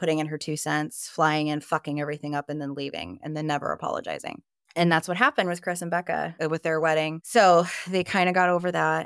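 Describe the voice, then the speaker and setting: A woman speaks with a very deep, low pitch and fairly even intonation. The recording is very clean with a silent background, and the sound is dry and close with no echo. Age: 30s. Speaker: podcast guest sharing childhood experiences. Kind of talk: personal testimony in casual interview.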